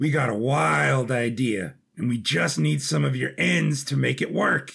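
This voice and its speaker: In a raspy, put-on character voice of medium pitch, a man speaks with very even loudness. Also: moderate pace. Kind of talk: casual slang. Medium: audio drama. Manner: laid-back, slangy.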